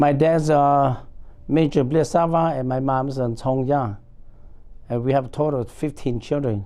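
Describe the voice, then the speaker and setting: A man's fairly high-pitched voice in a dark, mellow tone at a fairly slow pace. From Laos. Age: 60s. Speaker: war veteran. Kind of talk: oral history interview. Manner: halting, frequent fillers.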